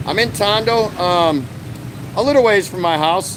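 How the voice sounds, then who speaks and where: A man with an American accent speaks at a moderate pace with lively intonation over noticeable background noise. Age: 60s. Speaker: vlogger. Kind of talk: live stream chat. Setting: outdoors, street. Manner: casual, conversational.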